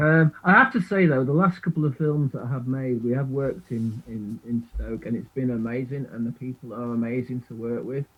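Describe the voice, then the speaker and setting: A man in a Manchester accent talks at a fairly quick pace. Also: medium pitch for a man, ordinary pitch variation, hardly any pauses. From northern England, Manchester (Burnage). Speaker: filmmaker and musician. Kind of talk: casual radio interview. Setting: video call into radio studio. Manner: hesitant, many fillers and repetitions.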